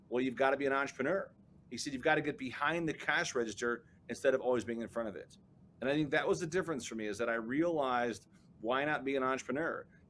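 A man talks at a very fast pace in an American accent. His pitch varies in an ordinary way, with light background noise. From Chicago, South Side; Chicago. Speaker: business coach and entrepreneur; interview guest. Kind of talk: interview. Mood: upbeat, storytelling. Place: office.

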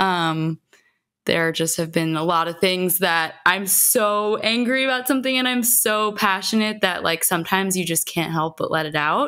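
A bright, sharp voice with an American accent speaks at a moderate pace with lively intonation. The background is quiet. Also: woman. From New York. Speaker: musician; podcast guest. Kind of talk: casual chat. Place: home room. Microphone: studio mic.

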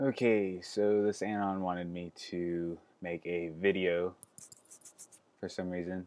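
With long, frequent pauses, a man speaks at a fairly slow pace in a very deep, low pitch and fairly even intonation. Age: 20s. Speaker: vlogger answering viewer questions; vlogger. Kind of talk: casual Q&A vlog. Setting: sitting on bedroom floor. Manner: hesitant, many fillers. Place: home room. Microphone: earbuds.

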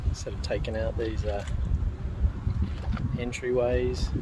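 The sound is dry and has no echo. Loud background noise accompanies the man speaking. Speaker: travel vlogger. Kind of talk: casual vlog chat. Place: waterside. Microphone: phone near.

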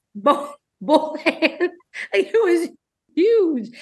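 A woman's pitch swings very widely against a quiet background. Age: 20s. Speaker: comedian. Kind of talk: casual chat. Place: home room. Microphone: webcam.

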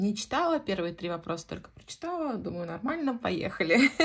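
The woman's voice is somewhat breathy, and she talks at a moderate pace. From Central Russia, Voronezh region. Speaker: knitting vlogger. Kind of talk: casual chat.

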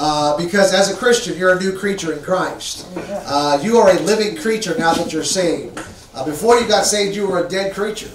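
A man at a moderate pace, high in pitch with ordinary pitch variation, audible room echo and light background noise. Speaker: pastor. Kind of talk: sermon. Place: church.

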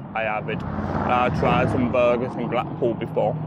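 This man talks at a fairly slow pace. The sound is dry with no echo, and background noise is noticeable. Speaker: food vlogger. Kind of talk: casual vlog chat. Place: street. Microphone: phone near.

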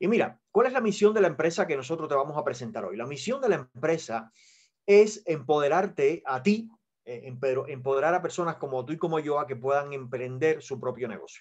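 Against a quiet background, a man talks at a fairly quick pace with a fairly high pitch and lively intonation. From Cuba. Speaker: network marketing presenter; presenter. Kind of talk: sales pitch. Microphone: video call.

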